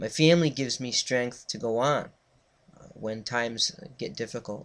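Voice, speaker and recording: Here is an ordinary speaking voice with an American accent at a moderate pace. The recording is very clean, with a silent background. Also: man. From Connecticut. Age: 30s. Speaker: student and reverend. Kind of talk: class speech. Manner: formal.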